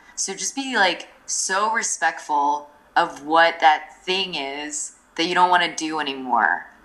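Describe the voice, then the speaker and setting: A woman's fairly low voice at a fairly slow pace, with ordinary pitch variation, over noticeable background noise. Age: 30s. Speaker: freelancer and entrepreneur. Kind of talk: interview conversation. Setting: remote call from overseas. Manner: hesitant with many fillers.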